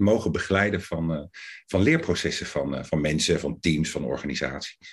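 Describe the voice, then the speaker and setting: A man talks fairly slowly, and the background around him is quiet. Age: 50s. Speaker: coaching lecturer. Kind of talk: interview. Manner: hesitant.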